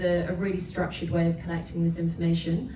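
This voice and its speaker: With an English accent, a woman talks very fast in a fairly low pitch, with audible room echo and noticeable background noise. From England. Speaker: startup founder. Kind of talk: startup pitch.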